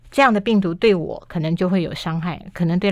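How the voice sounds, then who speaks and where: A woman in a normal speaking voice talks at a fairly quick pace with a fairly low pitch and ordinary pitch variation against a quiet background. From Taiwan. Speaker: health magazine chief writer; guest. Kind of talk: radio interview. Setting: radio studio. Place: studio.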